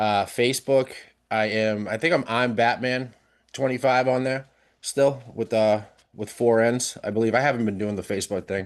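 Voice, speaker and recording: Speaking with a Boston accent, a man uses a medium pitch. He holds a moderate pace with fairly even intonation. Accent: funny accent (Boston area). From South Shore, Massachusetts (near Boston). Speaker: podcast guest, social media creator. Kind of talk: casual chat. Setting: live-streamed podcast.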